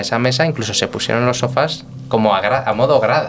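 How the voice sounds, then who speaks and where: A man talks fairly quickly, with noticeable background noise behind him. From Spain, Toledo (Guadamur). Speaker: restaurant director and sommelier. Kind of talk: casual interview. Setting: restaurant.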